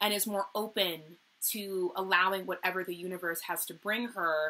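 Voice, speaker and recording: A woman speaks at a moderate pace in a medium pitch, her tone bright and sharp and her intonation fairly even. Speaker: tarot reader. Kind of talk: tarot reading monologue. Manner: loud, outspoken; halting with repetitions.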